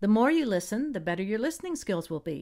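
A woman speaks at a fairly high pitch with very wide swings. The recording is very clean, with a silent background. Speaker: friend reading the English text. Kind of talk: reading aloud.

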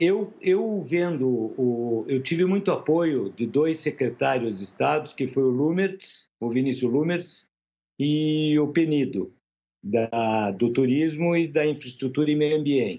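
Very slowly and at very even loudness, a man with a fairly high voice speaks in a dark, mellow tone with lively intonation. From Brazil, Curitiba. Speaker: event organizer, business owner. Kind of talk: news interview. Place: office. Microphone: video call.

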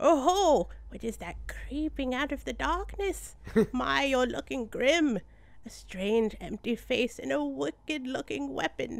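The speaker puts on a character voice with a fairly high pitch. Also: fairly slow pace. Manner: quavery, playful.

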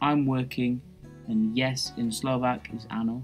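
A man with an English accent at medium pitch, with ordinary pitch variation and a fairly slow pace, music in the background. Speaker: language teacher. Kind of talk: language lesson explanation.

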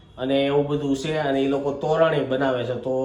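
In a room with audible echo, a man with a fairly high pitch speaks in a monotone, flat way. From Gujarat, India. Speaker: family vlogger. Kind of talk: casual vlog chat. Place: home room. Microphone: phone near.

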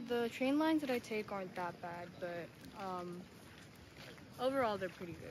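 A woman's lively intonation with long, frequent pauses, in a dry sound with no echo and noticeable background noise. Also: moderate pace. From Tokyo, Japan. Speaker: university student. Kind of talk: interview; interview answer. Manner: hesitant, many fillers. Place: street. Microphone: phone near.

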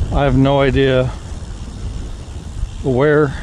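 A man's voice with ordinary pitch variation, a dry sound with no echo, and light background noise. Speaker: vlogger. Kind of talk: casual vlog chat. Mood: relaxed, mildly wry. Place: bicycle.

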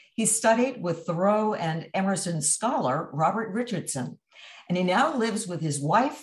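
This woman talks at a moderate pace with a somewhat breathy voice. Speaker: event host. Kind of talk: speaker introduction. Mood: warm, lightly amused. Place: home room. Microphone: video call.

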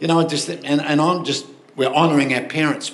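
A man with an Australian accent and fairly high pitch, at a moderate pace over light background noise. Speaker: pastor. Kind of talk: sermon. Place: church. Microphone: handheld.

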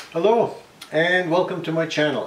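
Fairly slow speech from a man, with room echo clearly audible. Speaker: woodworking channel host. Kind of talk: casual vlog chat. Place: workshop. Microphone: camera far.

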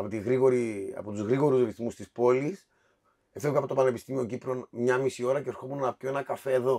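A man talks fairly quickly in a dark, mellow tone. His intonation stays fairly even over a quiet background. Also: medium pitch for a man. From Cyprus. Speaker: café co-owner; podcast guest. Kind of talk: casual chat. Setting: wine cellar. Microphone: echoey, eerie sound from the cellar.

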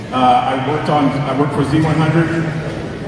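Strong room echo fills the recording, along with noticeable background noise. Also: man. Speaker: guest. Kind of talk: speech testimony. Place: hall. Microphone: pa.

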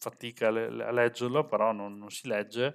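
Against a quiet background, a man talks at a fairly slow pace in a medium pitch. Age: 40s. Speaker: software developer and tech streamer; tech streamer. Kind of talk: live stream tutorial. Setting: live stream with webcam. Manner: casual, chatty. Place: home room. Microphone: headset.

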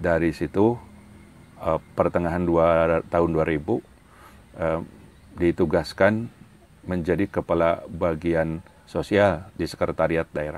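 At a fairly slow pace, a man with a very deep, low pitch speaks with fairly even intonation and long, frequent pauses, in a dry sound with no echo. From Sumedang, West Java; West Java, Indonesia. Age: 60s. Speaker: retired civil servant, religious council leader; religious council leader. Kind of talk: interview. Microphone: lapel.

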